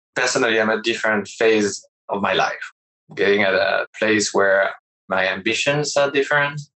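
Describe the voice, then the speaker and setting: Speaking with a French accent, a man keeps a medium pitch, ordinary pitch variation, very even loudness and a moderate pace. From France. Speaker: startup CEO. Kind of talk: interview.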